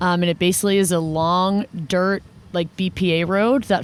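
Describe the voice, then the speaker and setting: This woman has an unremarkable speaking voice, pitched fairly low, with fairly even intonation. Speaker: podcast host on a running team. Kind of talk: on-location field recording. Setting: outdoors in the desert.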